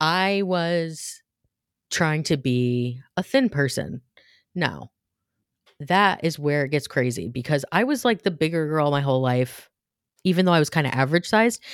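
A woman's very deep, low voice with an American accent, lively intonation, a moderate pace, very even loudness and long, frequent pauses. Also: very clean recording, silent background. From upstate New York. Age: 40s. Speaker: podcast co-host. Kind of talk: casual chat.

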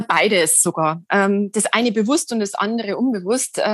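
A woman speaks against a quiet background. The sound is dry and close, with no echo. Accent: Lower Bavarian. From Lower Bavaria, Germany. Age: 40s. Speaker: poet and yoga practitioner. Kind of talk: interview about personal experience.

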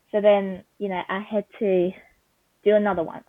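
In a Vietnamese accent, a woman speaks at a moderate pace. Her pitch is medium. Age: young. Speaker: recent high school graduate. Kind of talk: interview answers.

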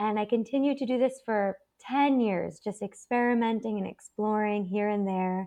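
At a moderate pace, a woman uses an ordinary speaking voice at medium pitch with ordinary pitch variation. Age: 30s. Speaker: psychotherapist. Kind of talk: interview.

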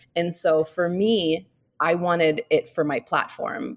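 In a dry, close sound with no echo, a woman speaks at a fairly low pitch with an American accent. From US Midwest, St. Louis. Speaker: author and mother. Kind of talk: casual interview.

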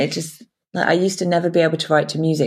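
A woman speaks fairly quickly in a very deep, low pitch with vocal fry. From Cornwall, England. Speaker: novelist and publishing manager. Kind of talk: casual interview.

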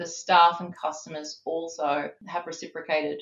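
At a moderate pace, a woman with an Australian accent speaks in a fairly low pitch. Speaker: business executive. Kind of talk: interview.

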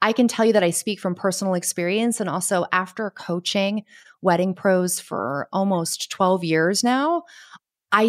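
A woman's normal speaking voice at medium pitch, with an American accent, fairly slow and fairly even in intonation, in a dry, close sound with no echo. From Connecticut, US. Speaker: business coach for wedding professionals. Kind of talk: casual interview chat.

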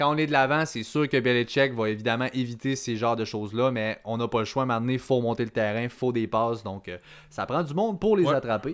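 In a normal speaking voice, a man talks at a fairly quick pace with ordinary pitch variation. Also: medium pitch for a man. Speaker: fantasy football podcast host. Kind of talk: casual chat.

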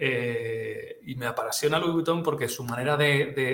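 With a fairly high pitch and fairly even intonation, a man speaks at a fairly slow pace. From Catalonia. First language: Catalan (speaking Spanish). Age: 40s. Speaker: retail expert. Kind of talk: interview. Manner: halting, many repetitions.

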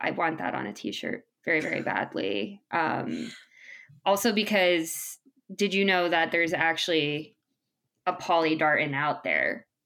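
A woman with vocal fry, a bright, sharp tone and lively intonation at a fairly slow pace. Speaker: podcast host. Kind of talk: casual chat.

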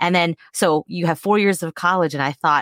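A woman's voice with ordinary pitch variation in a dry, close sound with no echo. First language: non-English mother tongue. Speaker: former prosecutor and true crime podcast co-host. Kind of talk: casual chat. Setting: online video call.

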